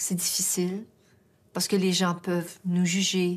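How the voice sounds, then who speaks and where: A woman's voice, fairly low in pitch, comes through on a very clean recording with a silent background. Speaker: singer. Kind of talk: interview answer. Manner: hesitant, emotional.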